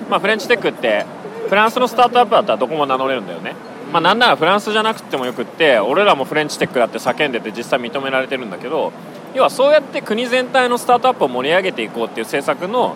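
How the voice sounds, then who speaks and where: Over noticeable background noise, a man talks very fast in a high-pitched voice, with very wide pitch swings and big swings in loudness. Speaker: podcast host. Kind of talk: casual chat. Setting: hotel restaurant.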